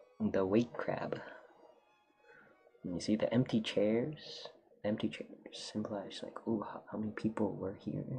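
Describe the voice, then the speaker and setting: A man's moderately paced speech, broken by long, frequent pauses, over noticeable background noise. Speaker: streamer and artist. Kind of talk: casual livestream chat while drawing. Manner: halting, many fillers.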